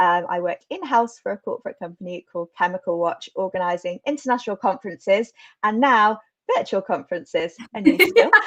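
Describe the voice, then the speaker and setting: A woman with a British accent talks at a fairly quick pace and a fairly high pitch. Her intonation is lively, and the sound is dry and close with no echo. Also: big swings in loudness. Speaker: events manager. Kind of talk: interview.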